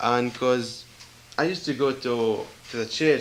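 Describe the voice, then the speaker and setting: A man's medium-pitched voice is heard against noticeable background noise. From Israel, Galilee. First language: not English (English is third language). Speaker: church visitor giving testimony. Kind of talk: testimony. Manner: halting.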